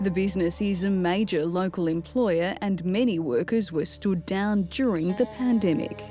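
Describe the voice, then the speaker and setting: Music plays in the background as a woman talks at a moderate pace and medium pitch with ordinary pitch variation. Her loudness is very even, and she hardly pauses. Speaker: TV segment narrator. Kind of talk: TV documentary narration.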